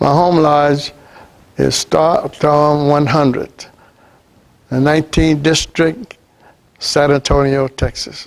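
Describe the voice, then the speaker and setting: Speaking with a Southern US accent, a man with a fairly high pitch goes very slowly, with long, frequent pauses, very even loudness and fairly even intonation. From US South, Louisiana. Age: 80s+. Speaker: retired Air Force veteran and Freemason. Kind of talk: personal testimony interview. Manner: halting.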